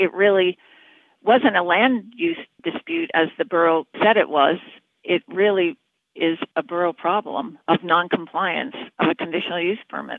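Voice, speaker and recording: The speaker here is a woman at a moderate pace. Her voice rises and falls with ordinary variation. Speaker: neighbor. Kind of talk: interview clip, community complaint. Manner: earnest.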